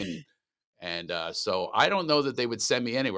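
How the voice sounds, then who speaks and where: Delivered in a Philadelphia accent, the voice is animated and bright, sharp in tone, moving at a fairly quick pace with lively intonation. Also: man. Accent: Philly. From Philadelphia, US. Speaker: comedian. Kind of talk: casual interview. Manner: fast.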